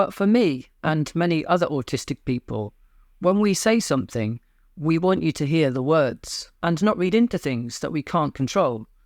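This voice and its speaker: The speaker has a British accent and a moderate pace. The recording is very clean, with a silent background. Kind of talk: personal talk to camera.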